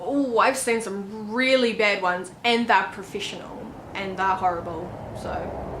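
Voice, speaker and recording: A woman with a New Zealand accent speaks at a fairly slow pace, medium in pitch with ordinary pitch variation. The audio has audible room echo and noticeable background noise. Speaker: author and YouTuber. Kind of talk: casual vlog tutorial. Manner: casual, with many fillers.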